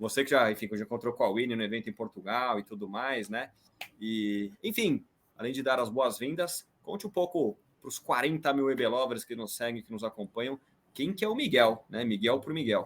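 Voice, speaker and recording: Speaking at a mid-range pitch and a medium tempo, the man lets his pitch move in a typical way. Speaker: podcast host. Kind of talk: podcast interview. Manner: animated.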